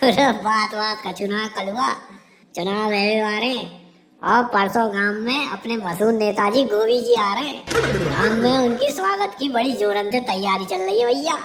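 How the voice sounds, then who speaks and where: Someone performs a cartoonish character voice at a moderate pace. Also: woman, fairly high pitch for a woman. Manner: blunt, matter-of-fact.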